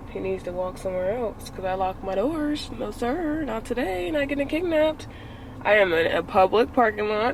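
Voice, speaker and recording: Noticeable background noise is present throughout. The voice swings very widely in pitch. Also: woman, fairly high pitch for a woman, moderate pace. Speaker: vlogger. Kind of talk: casual vlog. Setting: in a car.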